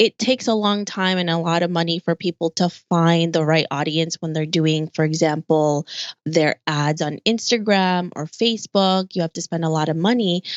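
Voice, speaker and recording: A woman with a plain, everyday voice and an American accent, fairly low pitch, ordinary pitch variation and moderate pace. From Philippines, raised partly there before moving to the US. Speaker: podcast host and online entrepreneur. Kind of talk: interview.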